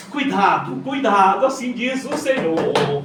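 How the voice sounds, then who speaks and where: Audible room echo and noticeable background noise surround a man speaking with lively intonation. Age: 60s. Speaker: pastor. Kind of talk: sermon. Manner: animated.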